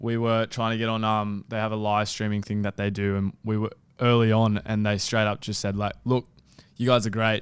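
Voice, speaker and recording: A man at a fairly low pitch and moderate pace, on a very clean recording with a silent background. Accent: Australian. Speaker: sports podcaster. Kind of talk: casual chat. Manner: flat, unenthusiastic, can sound sarcastic.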